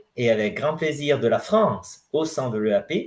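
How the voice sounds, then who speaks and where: A man with a non-native accent speaks at a fairly slow pace. His voice is somewhat breathy and fairly high, with lively intonation. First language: not French (speaking French). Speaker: president of a scientific federation. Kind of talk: conference presentation. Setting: general assembly audience. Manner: halting, many hesitations.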